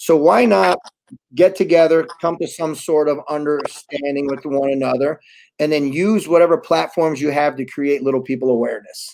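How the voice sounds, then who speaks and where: A man with an American accent, fairly high in pitch, at a moderate pace with ordinary pitch variation and a quiet background. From New York. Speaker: wrestling promoter; interviewee. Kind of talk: casual interview. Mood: proud, enthusiastic. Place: home room.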